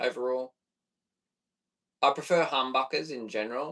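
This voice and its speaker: A man at a medium pitch with an Australian accent, moderate pace, and a dry, close sound with no echo. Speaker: bass player and streamer. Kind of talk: casual live stream chat while recording music. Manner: casual, thinking aloud.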